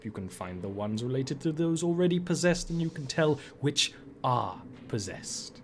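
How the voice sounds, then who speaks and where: A man's put-on, guttural character voice at a fairly quick pace, over clear background noise. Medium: actual play. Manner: formal, measured, aloof.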